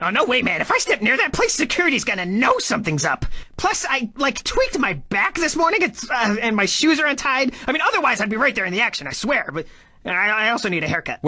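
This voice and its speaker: A raised, projected male voice, extremely high in pitch, with very wide pitch swings at a fairly quick pace. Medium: machinima. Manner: blustering, self-important, excuse-making.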